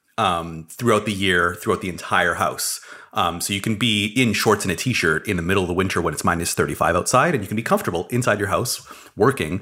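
Over noticeable background noise, a man with a Canadian accent and a fairly low pitch talks at a very fast pace with ordinary pitch variation. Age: 30s. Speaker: building science podcast co-host. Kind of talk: casual chat. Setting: studio.

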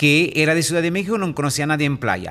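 In an Italian accent, a man talks at a fairly high pitch with ordinary pitch variation. The background is quiet. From Italy. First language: Italian (speaking Spanish). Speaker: real estate entrepreneur and speaker. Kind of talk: interview. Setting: radio studio.

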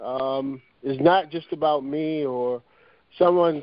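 A man speaks in an ordinary speaking voice. His pitch sits fairly high, and his intonation stays fairly even. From Norfolk, Virginia, US.

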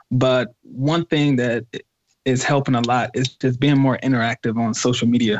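A plain, everyday voice from a man, mid-range in pitch and unhurried at a moderate pace. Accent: American. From US Midwest, Detroit area. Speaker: hip hop artist. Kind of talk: interview.

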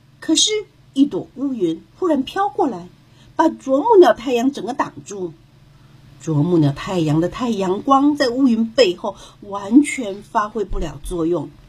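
A woman's fairly high-pitched, gentle, animated tone with very wide pitch swings. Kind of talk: children's fairy-tale narration, scripted storytelling read aloud.

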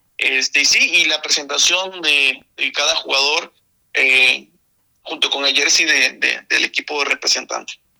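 A man talks at a fairly slow pace with very even loudness, in a dry, close sound with no echo. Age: 20s. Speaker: esports gamer. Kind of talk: radio interview.

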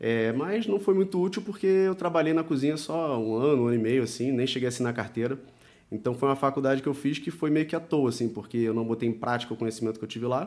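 A man with a Rio de Janeiro accent talking at a very fast pace, medium pitch and lively intonation, on a very clean recording with a silent background. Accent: Carioca Brazilian Portuguese. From Brazil, Rio de Janeiro. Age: 30s. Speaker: professional poker player. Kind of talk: casual chat. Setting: studio.

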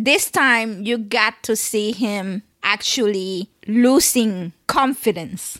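A woman talks slowly at a medium pitch. Her tone is fairly bright, with ordinary pitch variation.

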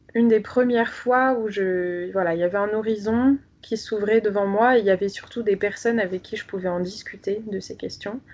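A woman speaks at medium pitch with fairly even intonation. Her pace is moderate, with hardly any pauses. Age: 20s. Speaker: doctoral student in sociology. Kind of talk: interview about personal faith. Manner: hesitant, many fillers and repetitions.

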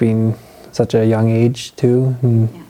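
Noticeable background noise behind a medium-pitched male voice. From Ontario, Canada. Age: 20s. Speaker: young father sharing faith story. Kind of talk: testimony interview.

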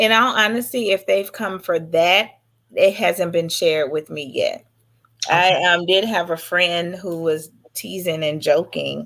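A woman with an American accent and a normal speaking voice talks fairly slowly at a fairly low pitch, with ordinary pitch variation. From Dallas, Texas. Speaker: actress and business owner. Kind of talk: interview.

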